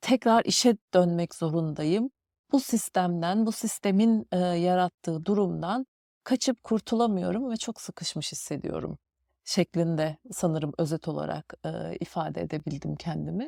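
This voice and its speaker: A woman's fairly low voice with a dark, mellow tone and lively intonation, at a fairly slow pace, dry and close with no echo, on a very clean recording with a silent background. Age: 40s. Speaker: podcast host. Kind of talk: personal reflective monologue. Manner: hesitant, many fillers.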